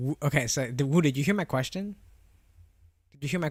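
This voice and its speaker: Very fast and somewhat breathy, a man speaks with ordinary pitch variation in a very clean recording with a silent background and a dry, close sound with no echo. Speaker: streamer. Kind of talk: casual chat. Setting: live stream. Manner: casual, filler-heavy.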